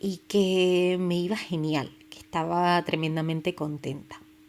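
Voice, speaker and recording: In a Canarian accent, a woman speaks at a fairly low pitch with ordinary pitch variation. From Canary Islands, Tenerife. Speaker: podcast host. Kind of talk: personal storytelling podcast. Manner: casual, with many fillers.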